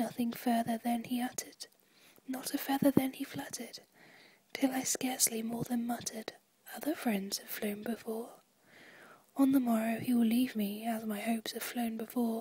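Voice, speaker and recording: A soft-spoken woman whispers in a British accent at a moderate pace, with long, frequent pauses. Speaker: ASMR performer. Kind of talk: poetry reading. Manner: whispered, soft-spoken.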